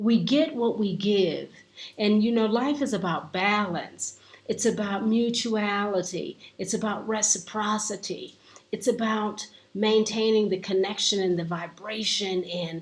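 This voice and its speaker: Somewhat breathy delivery at a fairly slow pace, with ordinary pitch variation. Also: woman, medium pitch for a woman. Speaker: life coach. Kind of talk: inspirational talk. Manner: slow, with pauses.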